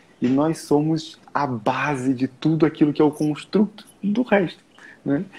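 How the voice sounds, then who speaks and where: A man talks at a fairly slow pace, his fairly high voice somewhat breathy and his intonation lively. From Brazil. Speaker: time management mentor. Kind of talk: live stream conversation. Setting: live stream.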